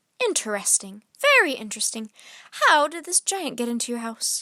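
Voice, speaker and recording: A woman uses a put-on character voice pitched high. She keeps a moderate pace. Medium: read story.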